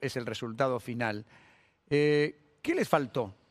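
The recording is very clean with a silent background. On it, a man speaks in a Rioplatense accent. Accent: Argentine Spanish (rioplatense). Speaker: sports radio host. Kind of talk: interview. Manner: halting.

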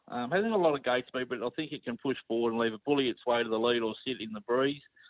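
Here a man talks at a very fast pace in an Australian accent. His pitch sits in the medium range. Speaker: racing tipster. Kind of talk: casual chat. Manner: relaxed.

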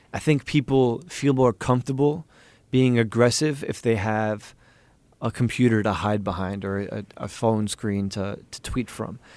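A man with an American accent speaks in an unremarkable speaking voice at medium pitch and a fairly slow pace, on a very clean recording with a silent background. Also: ordinary pitch variation. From US Northeast, New York City. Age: 20s. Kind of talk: interview.

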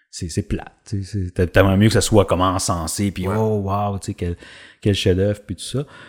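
A man with a Quebec accent at a fairly low pitch, moderate pace and fairly even intonation, dry and close with no echo on a very clean recording with a silent background. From Quebec, Drummondville. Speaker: actor. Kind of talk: casual interview. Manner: halting, many repetitions.

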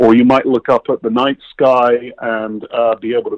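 He speaks at a moderate pace. The sound is dry and close, with no echo. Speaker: tech company founder. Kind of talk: interview. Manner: hesitant with fillers.

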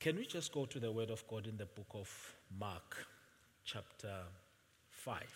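Somewhat breathy and medium in pitch, a man speaks at a fairly slow pace with long, frequent pauses and ordinary pitch variation. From Swaziland (Eswatini). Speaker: visiting pastor. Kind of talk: sermon. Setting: church with congregation. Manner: soft-spoken.

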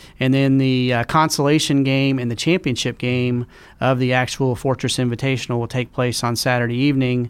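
A man with a plain, everyday voice and an American accent, fairly even intonation, and a fairly quick pace. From Oklahoma, Tulsa. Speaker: sports team executive. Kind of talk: interview. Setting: studio.

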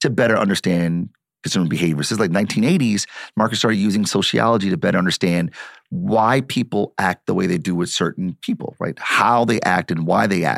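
A voice with ordinary pitch variation and very even loudness, recorded with a dry, close sound that has no echo. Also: man, fairly low pitch for a man. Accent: Midwestern American. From Detroit, US Midwest. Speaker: marketing professor and author. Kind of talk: interview conversation.

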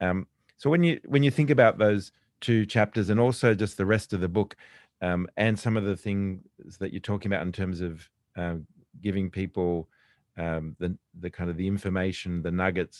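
With an Australian accent, the speaker sounds enthusiastic at a moderate pace with ordinary pitch variation, in a very clean recording with a silent background and a dry, close sound with no echo. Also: man, very deep, low pitch for a man. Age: 50s. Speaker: podcast host, business executive. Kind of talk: interview.

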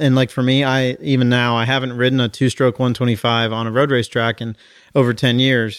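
A man with a normal speaking voice talks at a fairly quick pace and a medium pitch. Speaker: podcast host. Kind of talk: casual banter.

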